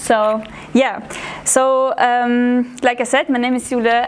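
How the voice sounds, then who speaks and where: This woman's voice sits high in pitch, with fairly even intonation. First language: German. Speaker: art history student intern. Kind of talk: public talk. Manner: halting, many fillers.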